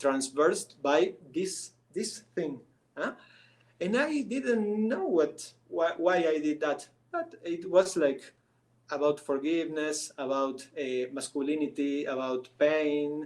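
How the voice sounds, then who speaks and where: With a Spanish accent, a man talks at a very slow pace in a fairly high voice with ordinary pitch variation. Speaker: artist. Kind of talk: interview. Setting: live stream. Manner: halting, many restarts.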